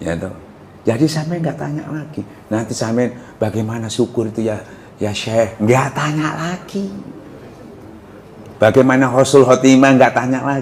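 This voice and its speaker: Long, frequent pauses break up the speech, with audible room echo and noticeable background noise. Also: man, medium pitch for a man, ordinary pitch variation, moderate pace. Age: 70s. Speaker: Islamic preacher. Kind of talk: religious lecture. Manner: conversational, asks audience questions.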